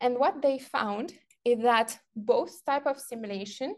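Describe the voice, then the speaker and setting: A woman's fairly high voice with a non-native accent. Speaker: researcher giving lecture. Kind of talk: lecture.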